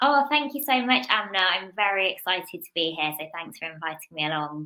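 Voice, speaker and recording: Her pitch swings very widely as this woman talks at a fairly quick pace. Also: medium pitch for a woman. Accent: Birmingham. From English Midlands, Birmingham. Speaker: business executive. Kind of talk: podcast interview.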